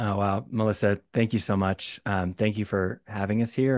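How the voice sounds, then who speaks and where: A man with a fairly low pitch, fairly even intonation, and a moderate pace, in dry sound with no echo and a quiet background. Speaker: former city council member. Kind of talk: audience question. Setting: video call. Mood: warm, grateful. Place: home room. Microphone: studio mic.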